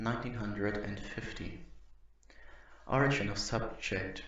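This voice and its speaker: A man with a non-native accent talks at a moderate pace with fairly even intonation, and audible room echo can be heard. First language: not English. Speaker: YouTuber reading creepypasta-style documents. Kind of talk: reading aloud; casual commentary. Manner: halting.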